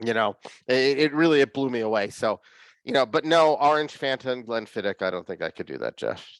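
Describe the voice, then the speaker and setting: A man with a Philadelphia accent talks at a fairly quick pace on a very clean recording with a silent background and a dry, close sound with no echo. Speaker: whiskey hobbyist show host. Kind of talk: casual chat. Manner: animated.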